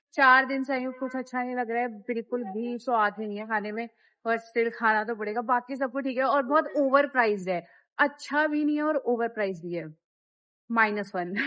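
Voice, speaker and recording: This woman's fairly high voice sounds animated and moves through ordinary pitch variation. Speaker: travel vlogger. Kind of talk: casual travel vlog. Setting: outdoors in a market. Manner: speaking louder than usual. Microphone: voice comes out too quiet.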